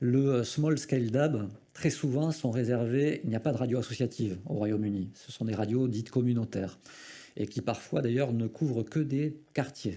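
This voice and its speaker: Here a man talks with a dark, mellow tone. His pitch is medium, with ordinary variation. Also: moderate pace, quiet background. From southwestern France. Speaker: radio federation representative. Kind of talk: conference talk. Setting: conference with audience. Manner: hesitant, many fillers.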